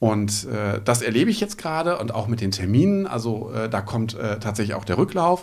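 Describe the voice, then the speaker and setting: A man talks at a fairly quick pace with lively intonation, medium pitch and hardly any pauses. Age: 40s. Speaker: real estate agent. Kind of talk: interview. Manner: hesitant, many filler sounds.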